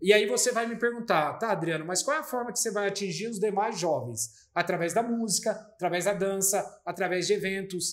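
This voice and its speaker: Here a man talks at a moderate pace. His pitch is high, and it varies an ordinary amount. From Brazil, São Paulo state (Vargem Grande Paulista). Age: 40s. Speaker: municipal culture secretary. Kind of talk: interview conversation.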